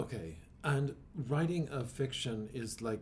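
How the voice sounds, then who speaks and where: The voice has a dark, mellow tone and is somewhat breathy. Pitch varies in an ordinary way, and there is audible room echo. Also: man. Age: 50s. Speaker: poet and podcast host. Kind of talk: casual interview chat. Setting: church.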